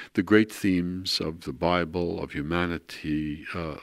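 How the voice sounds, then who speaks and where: On a very clean recording with a silent background, a man with a New York accent speaks fairly slowly in a very deep, low voice with fairly even intonation. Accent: New York American. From New York, Brooklyn. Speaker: art historian. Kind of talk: interview. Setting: at home.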